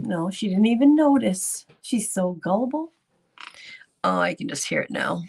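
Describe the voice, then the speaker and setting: In a somewhat breathy voice, a woman talks fairly slowly. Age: 60s. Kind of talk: casual live stream chat. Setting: live stream with chat. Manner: animated.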